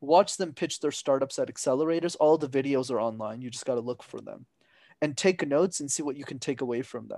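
This is a plain, everyday voice from a man with a Canadian accent, talking at a fairly quick pace with ordinary pitch variation. The sound is dry and close with no echo, over a quiet background. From Montreal, Quebec. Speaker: business consultant and public speaker. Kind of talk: podcast interview.

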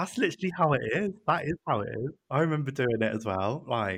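A man with a British accent speaks with very wide pitch swings. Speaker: podcast guest. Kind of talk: casual chat.

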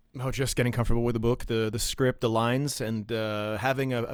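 Very fast and in a monotone, flat intonation, a man talks at a medium pitch. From Ottawa, Canada. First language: French. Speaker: stage actor and performer. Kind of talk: interview chat.

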